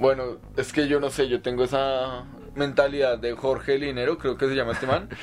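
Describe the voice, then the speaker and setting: Monotone, flat intonation from a man with a medium-pitched voice. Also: moderate pace. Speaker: podcast co-host, psychology graduate. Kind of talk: casual chat.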